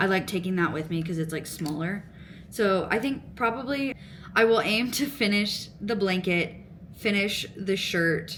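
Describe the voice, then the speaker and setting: A woman speaks at a moderate pace with ordinary pitch variation. Audible echo from the room surrounds her voice. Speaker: crochet and knitting vlogger. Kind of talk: casual chat. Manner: mumbling.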